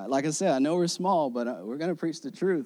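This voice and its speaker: Very clean recording with a silent background. A man speaks in a dark, mellow tone with ordinary pitch variation. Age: 30s. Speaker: pastor. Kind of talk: sermon. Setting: church.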